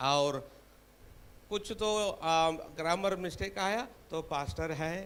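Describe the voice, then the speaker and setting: Lively intonation marks a man's speech in a Tamil accent, heard with audible room echo. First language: Tamil (speaking Hindi). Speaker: preacher. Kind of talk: sermon. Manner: halting.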